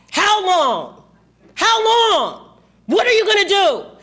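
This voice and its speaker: An angry woman with an American accent speaks at a fairly slow pace in a raised, projected voice, her pitch extremely high with very wide swings. Audible room echo surrounds her. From Texas. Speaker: parent speaking at public comment. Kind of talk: public comment at school board meeting. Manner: angry and emphatic.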